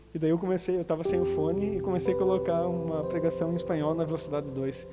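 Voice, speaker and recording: Music plays behind a man talking at a very fast pace, with room echo audible. His pitch is fairly high and varies in an ordinary way. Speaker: pastor. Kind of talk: sermon. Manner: normally fast talker.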